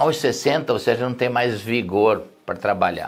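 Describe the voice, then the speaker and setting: A man at medium pitch and a fairly slow pace, with music in the background. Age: 60s. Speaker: pastor. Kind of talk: sermon. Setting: live stream.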